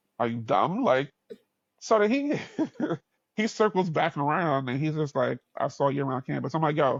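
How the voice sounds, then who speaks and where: A man talks at a fairly quick pace in a fairly high pitch, with lively intonation and long, frequent pauses. The recording is very clean, with a silent background and a dry, close sound with no echo. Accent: New York. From New York. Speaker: podcast host. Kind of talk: casual chat. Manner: animated.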